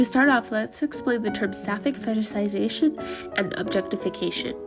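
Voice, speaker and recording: A woman speaks at a moderate pace over music in the background. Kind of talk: educational commentary talk.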